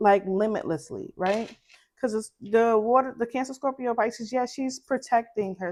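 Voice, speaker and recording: A woman's fairly high voice in a Brooklyn accent, with ordinary pitch variation at a moderate pace. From Brooklyn, New York. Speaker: tarot reader. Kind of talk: tarot reading.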